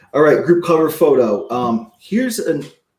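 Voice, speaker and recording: A man's energetic tone with lively intonation. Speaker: online marketing coach. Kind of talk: live webinar training. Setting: livestream with chat. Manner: fast; energetic, casual.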